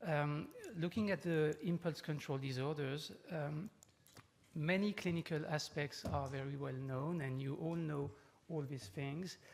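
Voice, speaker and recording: Somewhat breathy and at a fairly slow pace, the voice carries a French accent. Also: man, fairly high pitch for a man, ordinary pitch variation. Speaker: neurologist, professor. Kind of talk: conference lecture. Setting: conference talk with audience. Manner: hesitant, many fillers.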